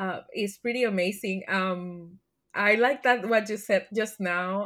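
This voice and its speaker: A woman with a Spanish accent speaks fairly slowly at a medium pitch, using ordinary pitch variation. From Puerto Rico. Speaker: learning and development leader. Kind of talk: interview.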